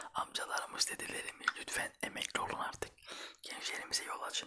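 A man whispers at a fairly quick pace. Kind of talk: casual talk to camera, ASMR-style chat. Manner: whispered, soft-spoken.

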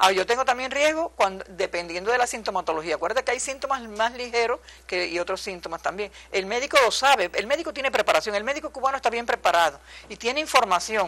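Very fast and lively in intonation, a woman speaks with a bright, sharp tone at a fairly high pitch. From Cuba. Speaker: epidemiologist; guest. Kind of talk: TV interview. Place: studio. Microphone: lapel.

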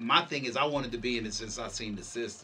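A man's fairly quick speech, with ordinary pitch variation, carries over light background noise. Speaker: interview guest. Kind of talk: interview answer. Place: studio. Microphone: lapel.

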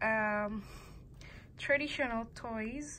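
Over noticeable background noise, a woman talks at a very slow pace in a high pitch. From Indonesia. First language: Indonesian. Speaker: student vlogger. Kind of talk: casual show-and-tell vlog. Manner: halting, many pauses and fillers. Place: home room. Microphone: phone near.

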